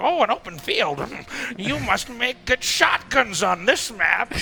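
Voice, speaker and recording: Using a put-on character voice, a man speaks at a high pitch over clear background noise. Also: fairly slow pace. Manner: menacing, theatrical.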